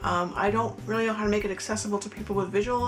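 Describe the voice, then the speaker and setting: Mumbling at a very fast pace, a woman speaks amid noticeable background noise and audible room echo. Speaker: YouTuber. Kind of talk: casual vlog talk, loosely scripted. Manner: mumbles; hesitant, many fillers.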